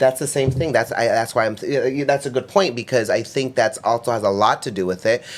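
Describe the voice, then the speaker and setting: Using an ordinary speaking voice with an American accent, a man talks fairly quickly at a medium pitch with ordinary pitch variation. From US, grew up doing migrant farm work. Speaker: podcast host. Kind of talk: casual chat.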